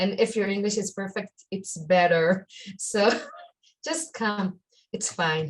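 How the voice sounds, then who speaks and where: Speaking very slowly with long, frequent pauses, a woman uses a somewhat breathy medium pitch and ordinary pitch variation. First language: Hebrew. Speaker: life purpose coach. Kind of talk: interview. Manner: halting.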